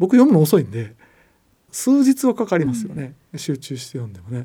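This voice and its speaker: A man's dark, mellow tone at a moderate pace, with very wide pitch swings. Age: 50s. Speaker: economics columnist and podcast host. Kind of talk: casual educational chat.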